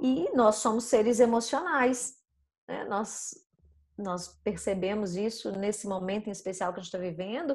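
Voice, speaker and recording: Lively intonation marks a woman speaking at a fairly slow pace in an ordinary speaking voice. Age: 40s. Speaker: communication and public speaking coach. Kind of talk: casual interview chat. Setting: online recording.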